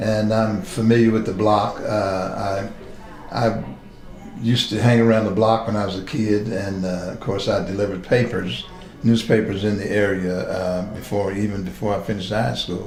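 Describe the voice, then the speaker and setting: Amid noticeable background noise and audible room echo, a man with an American accent speaks at a moderate pace with fairly low pitch and fairly even intonation. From West Virginia (Charleston, East End). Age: 70s. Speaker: retired police captain. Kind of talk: oral history interview. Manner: halting, many fillers.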